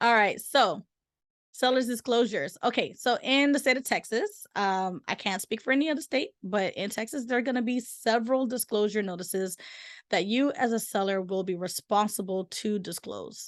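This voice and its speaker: Using a normal speaking voice, a woman with a fairly high pitch talks at a moderate pace, her pitch varying in an ordinary way. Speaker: real estate agent. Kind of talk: webinar presentation. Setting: recorded virtual seminar.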